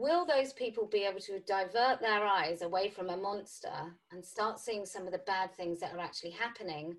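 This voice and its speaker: A British accent at a moderate pace. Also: woman. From UK. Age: 40s. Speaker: podcast host. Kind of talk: interview.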